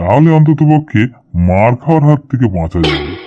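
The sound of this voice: This is a cartoonish character voice at a moderate pace. Its pitch swings very widely. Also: man, medium pitch for a man.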